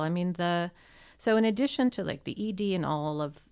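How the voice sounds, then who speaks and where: Fairly low in pitch, a woman speaks in a normal speaking voice at a moderate pace with lively intonation. The recording is very clean, the background silent. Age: 40s. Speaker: sexological bodyworker and sex educator. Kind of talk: casual interview. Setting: studio.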